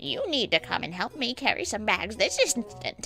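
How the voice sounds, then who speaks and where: Over clear music in the background, a woman does a put-on character voice at a fairly high pitch and a moderate pace. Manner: huffing and puffing, angry, indignant.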